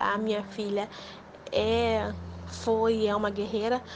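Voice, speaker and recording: This is a woman's voice. Her pitch is fairly high. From Rio de Janeiro, Brazil. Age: 20s. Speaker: near-death experience survivor. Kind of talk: testimony.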